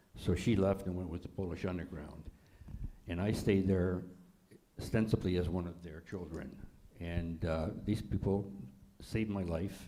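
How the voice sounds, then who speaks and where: A man with a very deep, low pitch and a dark, mellow tone speaks at a fairly slow pace. His intonation is fairly even, and audible room echo surrounds the voice. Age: 80s+. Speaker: holocaust survivor. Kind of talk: panel discussion. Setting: congregation event with audience.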